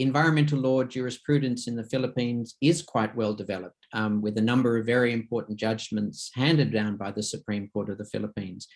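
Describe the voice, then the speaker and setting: In an Australian accent, a man speaks fairly quickly at a medium pitch with ordinary variation. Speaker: conference moderator. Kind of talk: panel discussion.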